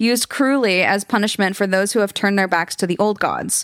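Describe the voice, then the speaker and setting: Using a normal speaking voice, a woman talks at a medium pitch, her intonation showing ordinary pitch variation. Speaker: podcast co-host telling the story. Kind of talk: bedtime ghost story telling, reading out the game's rules. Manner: playful, breaking into laughter and joking with co-hosts.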